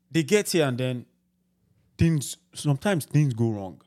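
Speaking at a moderate pace, a man with a Nigerian accent has a medium pitch, a dark, mellow tone and lively intonation. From Nigeria, Ibadan. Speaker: podcast host. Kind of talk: casual chat.

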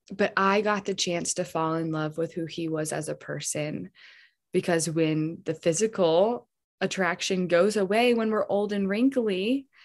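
On a very clean recording with a silent background, a woman with a plain, everyday voice speaks at a fairly slow pace with ordinary pitch variation. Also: medium pitch for a woman. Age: 20s. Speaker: podcast guest sharing faith testimony. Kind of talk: casual chat.

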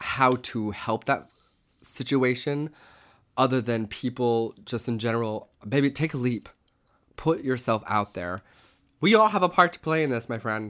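In a plain, everyday voice, a man with an American accent speaks at a moderate pace with ordinary pitch variation. The recording is very clean with a silent background. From Oklahoma. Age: 30s. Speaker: podcast co-host, costume shop worker. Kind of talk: casual chat. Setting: home.

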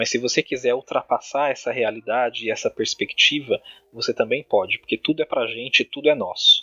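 At a moderate pace, a man's voice sounds dry and close with no echo, in a very clean recording with a silent background. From Brazil, São Paulo (Diadema, ABC Paulista). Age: 30s. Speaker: online influencer and law graduate student. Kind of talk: casual interview chat.

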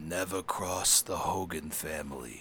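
A man's raspy, very deep, low put-on character voice at a fairly slow pace, with clear background noise. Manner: menacing, threatening.

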